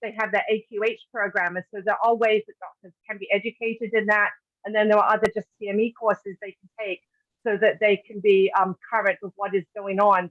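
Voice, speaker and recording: A woman with a British accent, fairly high pitch, fairly quick pace, monotone, flat intonation and big swings in loudness. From Britain. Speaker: patient advocate. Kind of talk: webinar presentation. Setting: online webinar.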